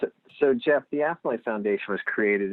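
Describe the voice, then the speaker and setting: A man with a Lehigh Valley accent speaks with lively intonation. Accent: Lehigh Valley Pennsylvania. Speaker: nonprofit executive director. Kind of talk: podcast interview.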